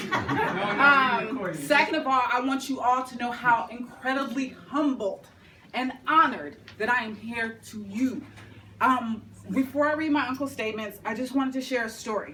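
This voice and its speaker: Spoken at a moderate pace, the voice carries audible room echo. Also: woman, high pitch for a woman, ordinary pitch variation. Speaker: tribute speaker. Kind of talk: tribute speech; reading aloud. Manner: loud.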